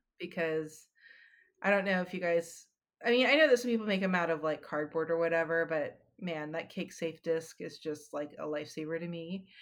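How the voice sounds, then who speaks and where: A woman with an American accent has an unremarkable speaking voice, fairly low in pitch with ordinary variation. She talks at a moderate pace on a very clean recording with a silent background. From Los Angeles. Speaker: cake artist and baking instructor. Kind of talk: casual interview.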